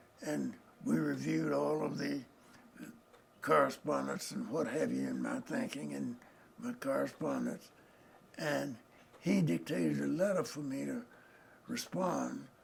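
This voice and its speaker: A man with a Southern US accent talks at a fairly slow pace, leaving long, frequent pauses. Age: 80s+. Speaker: retired lawyer. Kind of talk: oral history interview. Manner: halting.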